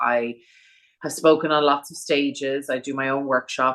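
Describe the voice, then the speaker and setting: This woman's voice has a bright, sharp tone, a very deep, low pitch and fairly even intonation. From Ireland, Dublin. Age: 40s. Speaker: funeral planner and celebrant. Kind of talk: podcast interview.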